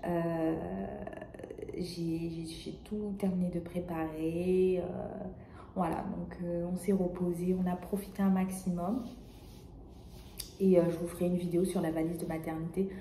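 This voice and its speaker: A soft-spoken woman's fairly low voice at a fairly slow pace, flat and monotone, with audible room echo and noticeable background noise. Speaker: vlogger. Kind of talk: casual vlog monologue. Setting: hospital room. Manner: hesitant, many fillers. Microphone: may be too quiet.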